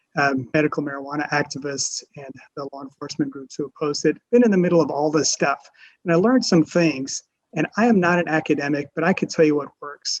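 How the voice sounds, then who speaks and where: A man with an American accent speaks in a normal speaking voice, fairly high in pitch, at a fairly quick pace with ordinary pitch variation and big swings in loudness. The sound is dry and close, with no echo. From US South, rural South Louisiana. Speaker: panelist, former head of a debate-resource nonprofit. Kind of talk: webinar panel talk. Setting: video call.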